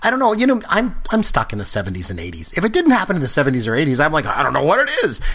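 Against noticeable background noise, a man talks very fast with hardly any pauses. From Canada. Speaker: podcast host. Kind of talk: casual chat.

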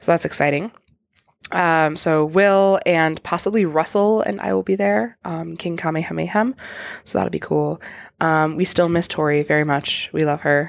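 A woman's very deep, low voice at a moderate pace, lively in intonation, on a very clean recording with a silent background. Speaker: podcast host. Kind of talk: casual chat. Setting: convention floor with live audience. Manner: animated.

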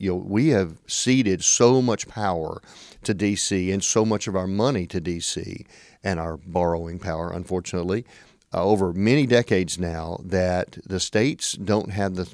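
A man with a Tennessee accent speaks at a moderate pace in a very deep, low pitch, in a very clean recording with a silent background. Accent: Southern US (Tennessee). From US South, western Tennessee. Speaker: state legislator. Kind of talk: interview. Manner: hesitant, many fillers.

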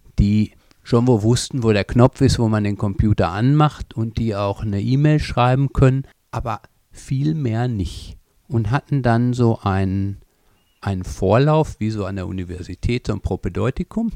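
Dry and close with no echo, a man's medium-pitched voice carries a dark, mellow tone, ordinary pitch variation and a moderate pace. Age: 50s. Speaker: language school teacher trainer. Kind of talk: interview. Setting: language school in Copenhagen.

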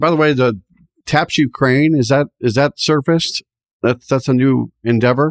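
A man with a fairly high pitch speaks in a plain, everyday voice at a moderate pace, with fairly even intonation. His loudness stays very even, and the sound is dry and close, with no echo. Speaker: podcast co-host and bank military executive. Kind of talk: casual interview.

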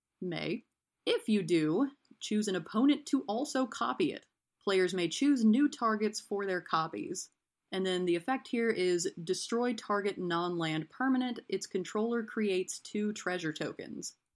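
Against a quiet background, a woman in an American accent has a plain, everyday voice at a medium pitch, speaking fairly slowly with lively intonation. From US South, East Tennessee. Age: 30s. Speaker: game store manager. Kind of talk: casual rules discussion podcast.

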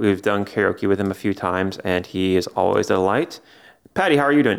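A man speaks in a normal speaking voice, fairly low in pitch, at a moderate pace. The recording is very clean, with a silent background. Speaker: podcast host, music writer. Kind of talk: casual chat.

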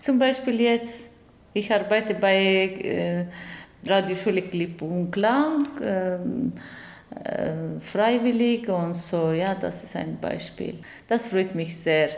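A woman with a non-native accent speaks at a very slow pace and a medium pitch, with ordinary pitch variation and long, frequent pauses. Noticeable background noise runs underneath. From Afghanistan. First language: not German (speaking German). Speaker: journalist and director. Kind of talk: interview testimony. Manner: halting, many hesitations.

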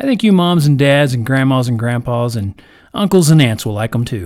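Speaking at a fairly quick pace, a man with an unremarkable speaking voice and a fairly high pitch uses lively intonation. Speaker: podcast storyteller. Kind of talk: bedtime story telling, reading a fairy tale aloud to children. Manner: gentle, warm, measured storyteller pacing; friendly, welcoming family-oriented intro.

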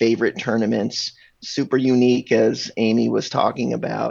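A man speaks at a medium pitch with vocal fry. His pace is moderate. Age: 50s. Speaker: freestyle frisbee podcast co-host. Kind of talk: casual chat.

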